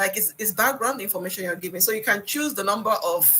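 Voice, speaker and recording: Her tone bright and sharp, a woman talks at a medium pitch with lively intonation. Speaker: instructor. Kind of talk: one-on-one presentation coaching. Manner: fast; repetitive, halting restarts.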